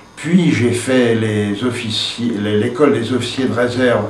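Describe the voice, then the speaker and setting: A man speaks very slowly at a medium pitch. Noticeable background noise and audible room echo fill the recording. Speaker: Algerian war veteran. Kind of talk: testimony. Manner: halting, frequent hesitations.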